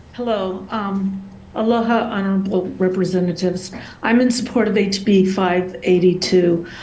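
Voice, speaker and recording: A woman speaks at a medium pitch with fairly even intonation, and audible room echo is present. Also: moderate pace. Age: 60s. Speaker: abuse survivor testifying. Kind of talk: public testimony. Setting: video call.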